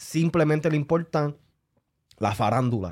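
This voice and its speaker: This is a very clean recording over a silent background. Its pitch moves in an ordinary way. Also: man, dry, close sound with no echo. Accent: Puerto Rican. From Puerto Rico. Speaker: podcast co-host. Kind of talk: casual chat. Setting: studio.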